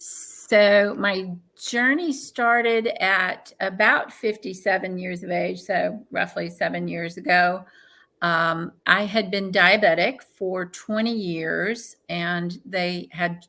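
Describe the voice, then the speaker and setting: At a very slow pace, a woman talks at medium pitch with a bright, sharp tone and ordinary pitch variation. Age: 60s. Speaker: transplant recipient. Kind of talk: interview testimony.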